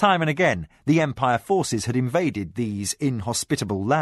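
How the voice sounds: Intonation is lively in this natural reading voice.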